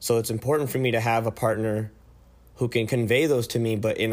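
In a very clean recording with a silent background, a man talks at a fairly quick pace with a Californian accent and monotone, flat intonation. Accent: Californian American English. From US West Coast, San Francisco Bay Area. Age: 20s. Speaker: medical student. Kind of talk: casual chat.

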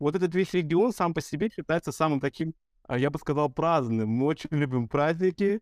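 A man with an unremarkable speaking voice, fairly high in pitch, at a moderate pace with ordinary pitch variation, dry and close with no echo, on a very clean recording with a silent background. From Russia, Vladivostok, Azerbaijani family. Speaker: singer. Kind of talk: casual chat. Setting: studio.

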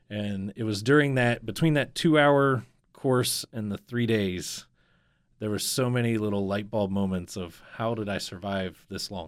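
On a very clean recording with a silent background, a man with an American accent speaks in an unremarkable speaking voice at a fairly low pitch and fairly slow pace, with ordinary pitch variation. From Northeast Ohio. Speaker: business coach. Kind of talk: interview storytelling. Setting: studio.

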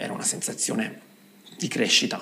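Noticeable background noise and audible room echo accompany a man speaking at moderate speed. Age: 40s. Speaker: dance teacher and choreographer. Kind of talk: interview.

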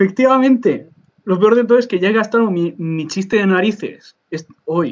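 This man's pitch is high, with ordinary variation. He keeps a moderate pace. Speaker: podcast co-host. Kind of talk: casual chat. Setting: live stream.

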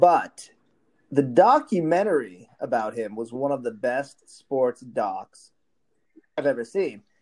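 Over background music, the speech comes at a very slow pace with lively intonation. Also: man, medium pitch for a man. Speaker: guest, mustache institute president. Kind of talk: casual banter.

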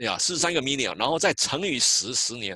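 Against a quiet background, a man speaks at a moderate pace with a fairly high pitch, a bright, sharp tone and vocal fry. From Taiwan. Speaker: census outreach coordinator. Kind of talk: interview. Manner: halting.

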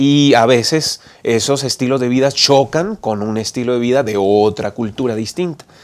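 Speaking in an ordinary speaking voice, a man keeps a moderate tempo and lets his pitch vary in a typical way. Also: medium pitch for a man. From Colombia, Bucaramanga (Santander). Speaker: pastor and program host. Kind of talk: moderated Bible study discussion.

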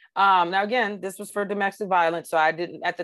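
Using a plain, everyday voice, a woman with an American accent speaks at a moderate pace, her pitch fairly low and her intonation fairly even. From US South (Georgia). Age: 40s. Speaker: retired police officer. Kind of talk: interview testimony.

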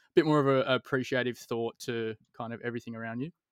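Against a quiet background with a dry, close sound and no echo, a man with an Australian accent speaks at medium pitch and a fairly quick pace in monotone, flat intonation. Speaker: podcast host. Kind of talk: casual interview chat.

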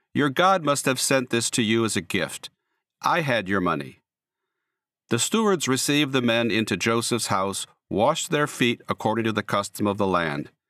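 A man with a bright, sharp voice at a medium pitch talks at a moderate pace with lively intonation. The sound is dry and close with no echo, in a very clean recording with a silent background. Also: very even loudness. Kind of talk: scripted audiobook narration of a Bible story, read aloud. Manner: steady, measured storyteller pacing, formal, with slight tonal shifts for quoted dialogue.

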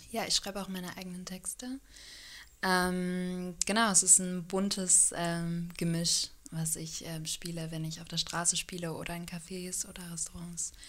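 On a very clean recording with a silent background, a woman talks at a fairly slow pace in a fairly low, monotone voice whose loudness swings widely. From Hannover, northern Germany. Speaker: street musician, singer-songwriter. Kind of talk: interview. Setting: home studio.

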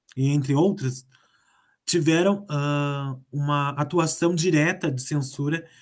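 This man's voice is somewhat breathy and fairly high in pitch, with fairly even intonation. The recording is very clean, the background silent. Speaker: radio host. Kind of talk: radio interview.

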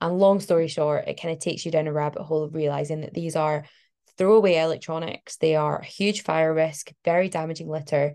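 Over a quiet background, a woman with a Glasgow accent speaks at a fairly quick pace in a dark, mellow tone, her very deep, low pitch delivered with monotone, flat intonation. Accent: Glasgow Scottish. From Scotland, Glasgow. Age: 20s. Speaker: climate activist and PhD researcher. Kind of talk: interview.

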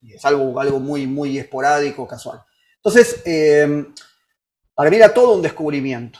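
A man's plain, everyday voice, fairly high-pitched, at a moderate pace with ordinary pitch variation. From Argentina, Buenos Aires. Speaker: musician and synthesizer specialist. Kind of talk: interview.

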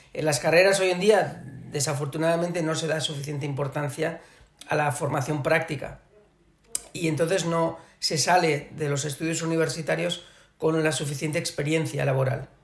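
A man speaks in a monotone with flat intonation. Background noise is noticeable. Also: moderate pace. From Barcelona, Catalonia. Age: 40s. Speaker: business executive. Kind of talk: interview. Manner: hesitant, many fillers.

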